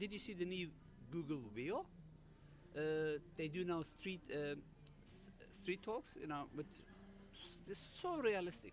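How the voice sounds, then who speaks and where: Over music in the background, a man with a high voice talks with long, frequent pauses. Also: lively intonation. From Germany. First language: German. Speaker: cybersecurity author. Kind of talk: panel interview. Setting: live stream. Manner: halting.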